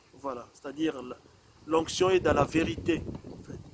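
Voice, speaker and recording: Speaking very slowly, a man's fairly high voice shows ordinary pitch variation. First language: not French (speaking French). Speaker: preacher. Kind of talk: sermon. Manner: measured, calm pace; hesitant, many fillers and repetitions.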